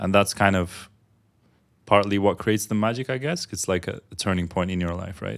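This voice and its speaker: In a very clean recording with a silent background, a man with an ordinary speaking voice, fairly low pitch and ordinary pitch variation speaks at a fairly quick pace. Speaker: podcast co-host. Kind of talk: casual podcast chat.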